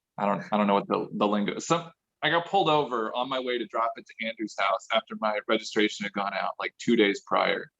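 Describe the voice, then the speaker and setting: A man with an American accent and an unremarkable speaking voice, at a fairly quick pace. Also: medium pitch for a man. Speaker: car enthusiast. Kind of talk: casual chat. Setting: video call.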